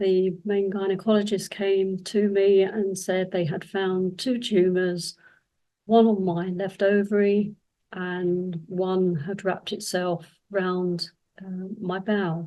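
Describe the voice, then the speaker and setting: Very slowly and in a flat monotone, a woman speaks at a medium pitch. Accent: southern English. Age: 70s. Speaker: cancer survivor and women's health advocate. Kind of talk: personal testimony. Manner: hesitant, with fillers.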